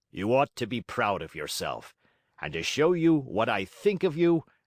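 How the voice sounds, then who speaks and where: A man performs a raspy put-on character voice at medium pitch with very wide pitch swings and a moderate pace. The sound is dry and close with no echo, on a very clean recording with a silent background. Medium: read story. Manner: hearty.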